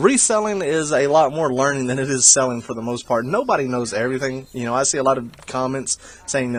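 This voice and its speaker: A man talking at a very fast pace with hardly any pauses and ordinary pitch variation. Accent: strong Southern US. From South Carolina. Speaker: video game reseller vlogger. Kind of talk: voiceover commentary on haul footage. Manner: casual, halting with many fillers.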